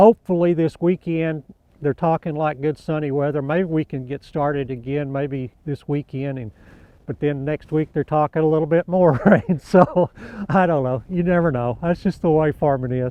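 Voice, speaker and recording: With an American accent and a normal speaking voice, a man at a fairly high pitch talks with ordinary pitch variation. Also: moderate pace. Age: 60s. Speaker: cotton farmer. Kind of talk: interview.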